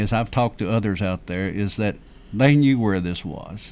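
A man speaks with a Tennessee accent in a fairly low voice. His pace is moderate and his pitch varies in an ordinary way. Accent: Middle Tennessee Southern. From Rutherford County, Tennessee. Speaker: county commissioner and historian. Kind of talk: radio interview. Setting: radio studio.

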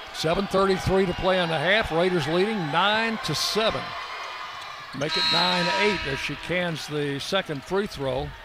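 A man talks very slowly at a high pitch. His pitch variation is ordinary, and noticeable background noise can be heard. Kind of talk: live play-by-play sports commentary.

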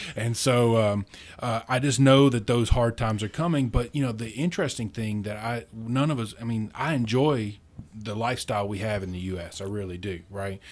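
A man with an American accent talks at a moderate pace and medium pitch with ordinary pitch variation, in a very clean recording with a silent background. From rural central Kentucky. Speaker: libertarian activist, university program director. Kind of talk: casual interview chat. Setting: studio. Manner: animated.

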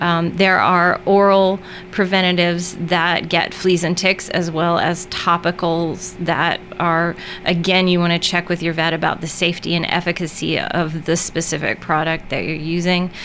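Over music in the background, a woman speaks at a moderate pace in a fairly low, monotone voice with flat intonation. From Middle Tennessee, Murfreesboro. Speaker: veterinarian. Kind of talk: radio interview.

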